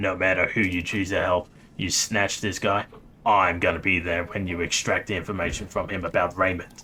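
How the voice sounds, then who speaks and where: A man's put-on character voice, raspy and very deep and low in pitch, at a moderate pace amid clear background noise. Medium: game stream. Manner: blunt, terse.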